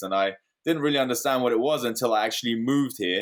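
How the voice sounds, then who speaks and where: The man talks at a medium pitch with ordinary pitch variation. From London, England. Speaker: real estate investor. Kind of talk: interview.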